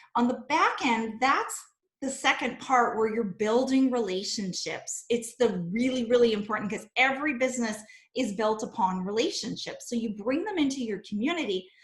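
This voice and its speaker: Here is a woman with an unremarkable speaking voice and fairly high pitch. She keeps a moderate pace with ordinary pitch variation. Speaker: online business coach. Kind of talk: webinar teaching on a video call. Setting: video call.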